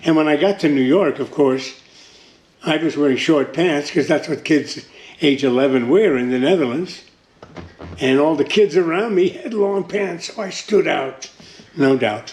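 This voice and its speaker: Over noticeable background noise, a man with a fairly high pitch talks at a moderate pace with ordinary pitch variation. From Netherlands. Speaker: World War II survivor. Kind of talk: interview answer.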